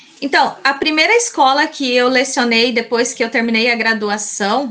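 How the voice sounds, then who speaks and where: Bright, sharp tone at a fairly slow pace. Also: woman. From Mato Grosso, Brazil (Colíder). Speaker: teacher. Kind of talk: interview.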